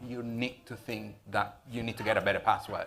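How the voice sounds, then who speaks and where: A man speaks with a Spanish accent. There is noticeable background noise. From Venezuela. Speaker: IT security business owner. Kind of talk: panel discussion.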